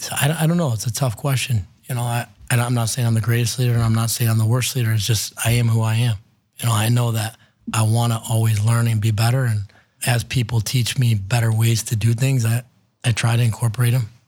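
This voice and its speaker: With an American accent, a man at medium pitch speaks at a very fast pace in a monotone, flat, somewhat breathy voice. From Ohio, Cleveland area. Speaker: restaurant entrepreneur. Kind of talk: interview.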